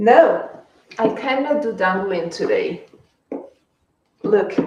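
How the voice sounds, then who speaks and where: There is audible room echo as a woman speaks at a very slow pace. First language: Spanish. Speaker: fashion livestreamer. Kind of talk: casual live stream chat.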